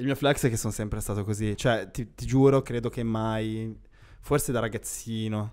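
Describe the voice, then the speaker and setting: A man talks at a moderate pace in a medium pitch with fairly even intonation, in a normal speaking voice. The background is quiet. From Milan, northern Italy. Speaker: podcast co-host. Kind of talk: casual chat. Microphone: handheld.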